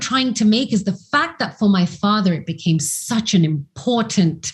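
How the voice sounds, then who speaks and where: A woman's fairly high, somewhat breathy voice with very wide pitch swings at a fairly slow pace. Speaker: academic and commentator. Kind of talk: interview discussion. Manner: articulate.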